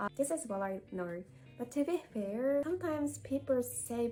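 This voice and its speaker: With music in the background, a woman with a Japanese accent speaks fairly slowly with lively intonation. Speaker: YouTuber and former English teacher. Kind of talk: casual talk to camera.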